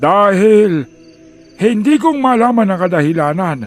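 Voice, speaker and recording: A man's put-on character voice, high-pitched and fairly slow, with faint music in the background. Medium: audio drama. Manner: measured, old-fashioned speech.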